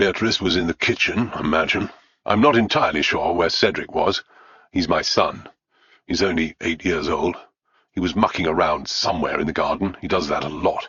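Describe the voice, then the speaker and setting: Using a put-on character voice, a man sounds gruff and very deep, low in pitch, speaking at a moderate pace. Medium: read story. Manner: gruff, blunt.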